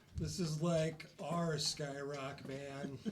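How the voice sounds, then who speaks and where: A man drawls in a put-on character voice, pitched fairly high. His intonation stays fairly even, with clear background noise behind him. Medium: actual play. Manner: laid-back, drawling, says man a lot.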